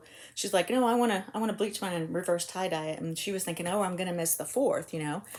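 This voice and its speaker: Talking at a very fast pace in an American accent, a woman uses a medium pitch with ordinary pitch variation. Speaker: crochet vlogger. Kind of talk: casual chat.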